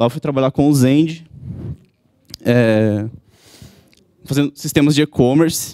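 Against a quiet background, a man with a fairly high pitch speaks at a fairly slow pace in a dark, mellow tone, his intonation fairly even and his pauses long and frequent. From Santa Catarina, southern Brazil (Chapecó); Santa Catarina, Brazil. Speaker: web developer, conference speaker; conference speaker. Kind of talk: conference talk. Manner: halting. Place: hall. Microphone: handheld.

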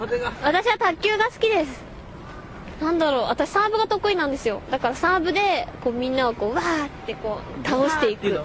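Her voice is high for a woman and swings very widely in pitch. The woman keeps a moderate pace. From Tokyo. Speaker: voice actor. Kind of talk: radio show listener mail reading. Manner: giggly, loose.

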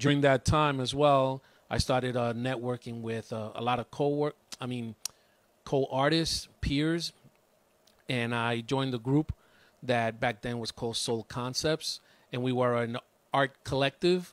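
Long, frequent pauses mark a man's fairly slow speech, the sound dry with no echo. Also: fairly even intonation. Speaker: guest. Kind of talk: interview answer. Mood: warm, reflective. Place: home room. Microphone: handheld.

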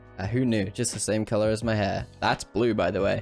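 Music in the background behind a man's medium-pitched voice at a fairly quick pace. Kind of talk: comedic makeup tutorial voiceover. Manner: joking, casual.

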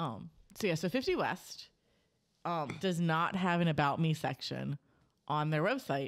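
Over a quiet background, a voice with vocal fry and lively intonation moves at a fairly slow pace. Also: woman, very deep, low pitch for a woman. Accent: American. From Cincinnati, US Midwest. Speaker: podcast host. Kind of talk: casual chat. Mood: relaxed, friendly. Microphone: studio mic.

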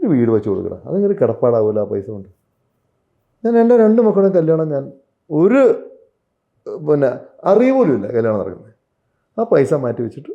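A man's fairly high voice moves in very wide pitch swings. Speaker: film actor. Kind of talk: interview. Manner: halting.

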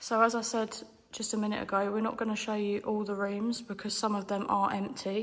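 Her intonation monotone and flat, a woman talks at a fairly quick pace. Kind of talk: casual vlog commentary. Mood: curious, slightly hushed. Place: hall. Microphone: phone near.

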